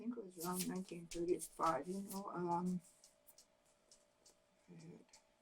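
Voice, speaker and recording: A somewhat breathy woman with an American accent, fairly low pitch and fairly even intonation, at a moderate pace broken by long, frequent pauses. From Oregon, USA. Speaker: oral history interviewee. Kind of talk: interview answer. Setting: at home.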